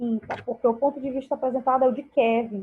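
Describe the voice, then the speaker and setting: A woman talks with fairly even intonation. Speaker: school teacher. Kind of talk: online class lesson.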